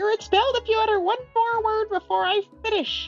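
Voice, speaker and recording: Faint music plays in the background of a put-on character voice. It is extremely high-pitched and moves at a fairly quick pace. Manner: strict, threatening.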